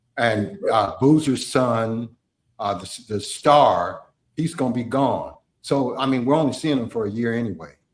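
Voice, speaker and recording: At a fairly slow pace, a man with an ordinary speaking voice and a medium pitch talks with lively intonation. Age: 60s. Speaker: sports talk show host. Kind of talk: casual chat.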